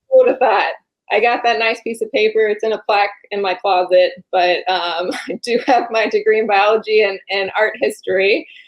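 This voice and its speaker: A woman talks with fairly even intonation, keeping a moderate pace. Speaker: insurance agent and agency director. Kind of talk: podcast interview. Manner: monotone; calm, laid-back.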